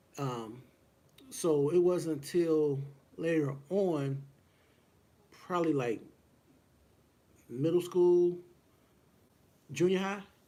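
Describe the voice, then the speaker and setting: A man with an American accent speaks very slowly in a fairly high pitch, with long, frequent pauses and ordinary pitch variation. His tone is dark, mellow and relaxed, and there is audible room echo. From US, Woodlawn near Cincinnati, Ohio. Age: 40s. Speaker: boxing podcast host. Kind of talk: casual solo livestream talk. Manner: relaxed, many fillers and hesitations.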